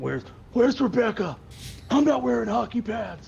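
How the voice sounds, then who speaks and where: Putting on a character voice, a man speaks at a moderate pace with a high pitch over clear background noise. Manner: demanding, intense.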